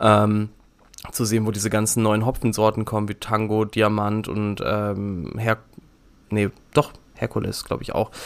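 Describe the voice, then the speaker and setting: Long, frequent pauses mark this man's speech. His pitch is fairly low and his pace fairly slow. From Düsseldorf, Germany. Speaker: hobby brewer podcast co-host. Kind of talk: casual chat.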